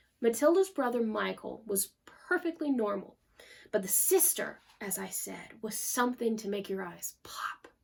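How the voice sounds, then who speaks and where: An ordinary speaking voice from a woman, fairly high in pitch, with lively intonation and big swings in loudness. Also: moderate pace. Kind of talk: narrated story reading.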